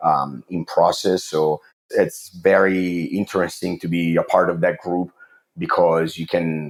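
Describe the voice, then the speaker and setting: A man with an Italian accent speaks in a very deep, low voice. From Italy. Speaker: water treatment chemist. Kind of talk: interview. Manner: hesitant, many fillers.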